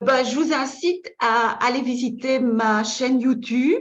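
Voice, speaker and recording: Audible room echo surrounds a woman with a Belgian accent. Her voice is high in pitch with ordinary pitch variation. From Belgium. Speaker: feng shui consultant and trainer. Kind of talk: online masterclass lecture. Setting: webinar. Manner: halting, with frequent repetitions and fillers.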